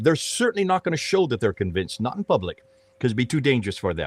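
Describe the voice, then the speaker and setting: This man's pitch swings very widely, with vocal fry. The sound is dry and close, with no echo. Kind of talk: panel discussion.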